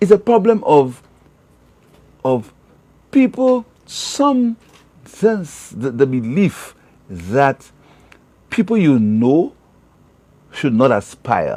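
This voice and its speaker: With a high pitch and a dark, mellow tone, a man speaks at a very slow pace, his pitch swinging very widely between long, frequent pauses. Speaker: opposition party leader. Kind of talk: interview. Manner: halting.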